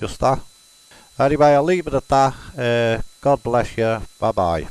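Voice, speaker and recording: With a Liverpool accent, a man speaks at a fairly slow pace with ordinary pitch variation. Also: medium pitch for a man, dry, close sound with no echo. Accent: Scouse. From Liverpool, England. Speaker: spiritualist medium. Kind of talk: casual explanatory monologue.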